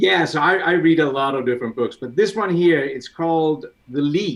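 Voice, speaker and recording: With a Danish accent, a man talks at a moderate pace using lively intonation. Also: fairly high pitch for a man. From Denmark. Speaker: CAD software expert. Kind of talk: casual chat. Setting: live stream video call.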